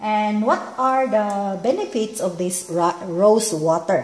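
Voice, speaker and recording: A woman talks at a medium pitch, her pitch varying in an ordinary way, with noticeable background noise behind her. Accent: Filipino. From Philippines. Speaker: DIY beauty vlogger. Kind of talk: tutorial. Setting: at home. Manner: halting, many fillers.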